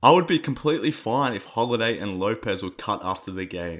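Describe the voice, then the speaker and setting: With an Australian accent, a man speaks at a fairly quick pace and with lively intonation. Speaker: sports podcast host. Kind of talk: casual chat. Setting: remote call.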